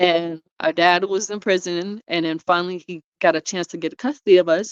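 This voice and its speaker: A woman with a New York accent speaks at a medium pitch against a quiet background. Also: dry, close sound with no echo. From New York, Brooklyn. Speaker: foster care survivor. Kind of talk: interview testimony.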